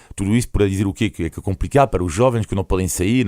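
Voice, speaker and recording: This man has a very deep, low pitch. He speaks with a French accent. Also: very clean recording, silent background. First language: French (speaking Portuguese). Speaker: foreign journalist, weekly commentator. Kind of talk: radio panel commentary.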